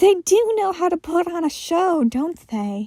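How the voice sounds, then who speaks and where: A woman speaks at a fairly slow pace in a put-on character voice, squeaky and extremely high-pitched. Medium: read story. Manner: playful, coy.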